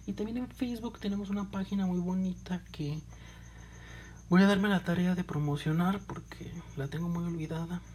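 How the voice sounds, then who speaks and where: With a Mexican accent, a woman speaks in a dark, mellow tone that is somewhat breathy. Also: ordinary pitch variation, moderate pace. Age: 20s. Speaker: podcast host. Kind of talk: casual monologue.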